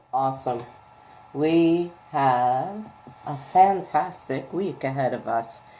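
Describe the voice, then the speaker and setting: A woman speaks very slowly with a very deep, low pitch, a dark, mellow tone and ordinary pitch variation, with audible room echo. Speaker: spiritual coach giving weekly energy forecast. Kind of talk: casual live stream tarot card reading. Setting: live video stream. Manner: quieter than usual.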